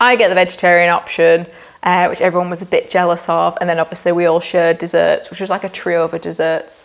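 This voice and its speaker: A woman talks at a fairly quick pace with a Lancashire accent. Her fairly low pitch has some vocal fry. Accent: Preston, Lancashire. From northern England, Preston, Lancashire. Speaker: marketing agency founder. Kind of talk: casual monthly recap vlog. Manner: chatty, animated.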